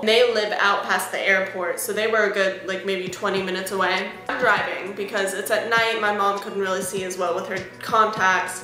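Music plays behind a woman who speaks at a moderate pace with hardly any pauses, in a monotone, flat intonation. There is audible room echo. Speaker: music vlogger. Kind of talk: casual storytime vlog. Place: home room. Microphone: webcam.

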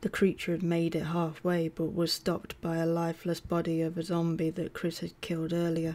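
Speaking at a fairly quick pace with hardly any pauses, a woman with a British accent uses a fairly low, dark and mellow voice with monotone, flat intonation. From UK. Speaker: audiobook narrator. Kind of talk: audiobook reading of a horror novel, narrated with character dialogue. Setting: home recording with added game sound effects. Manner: measured storyteller pacing, hushed and suspenseful in creepy scenes.

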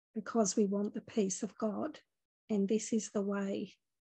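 A somewhat breathy voice with a dark, mellow tone and a calm, gentle tone speaks in a monotone, flat intonation at a fairly slow pace, the sound dry with no echo over a quiet background. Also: woman. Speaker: spiritual teacher leading a meditation. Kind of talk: guided meditation. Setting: online video group session. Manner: calm, gentle, soothing, slow-paced. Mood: calm, gentle, warm. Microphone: phone near.

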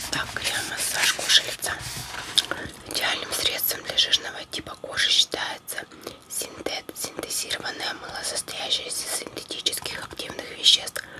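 At a fairly slow pace, a woman whispers. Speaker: ASMR creator. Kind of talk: ASMR reading of a cosmetics book while chewing gum. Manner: whispered. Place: home room. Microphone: phone near.

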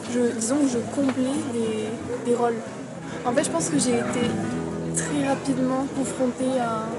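A woman at a fairly slow pace with ordinary pitch variation and loud music in the background. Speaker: interviewee. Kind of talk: interview answer. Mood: reflective, personal. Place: cafe. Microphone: phone near.

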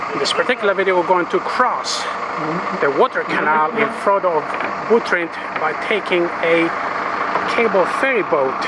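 Loud background noise accompanies fairly slow speech with a dry sound and no echo. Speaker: travel vlogger. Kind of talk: casual travel commentary. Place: boat. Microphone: phone near.

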